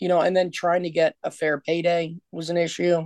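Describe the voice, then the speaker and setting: Recorded with a dry, close sound and no echo, a woman with a normal speaking voice talks at a moderate pace and a fairly low pitch. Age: 40s. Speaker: professional wrestler and promoter. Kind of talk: interview.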